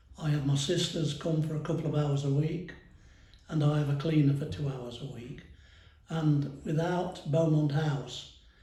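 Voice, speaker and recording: Fairly high male pitch, fairly even intonation and a moderate pace, with audible room echo. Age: 70s. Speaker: retired power station worker. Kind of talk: interview.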